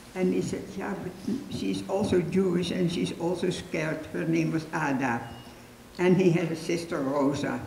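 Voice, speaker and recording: Audible room echo and light background noise surround a woman whose fairly low voice shows ordinary pitch variation. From Netherlands. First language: Dutch. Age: 80s+. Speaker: Holocaust rescuer, resistance member. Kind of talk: public talk, personal testimony. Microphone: handheld.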